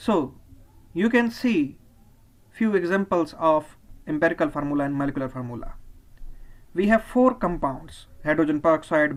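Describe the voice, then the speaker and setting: Speech in a Pakistani accent moves at a moderate pace with long, frequent pauses. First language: Urdu. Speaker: chemistry teacher. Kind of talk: lecture.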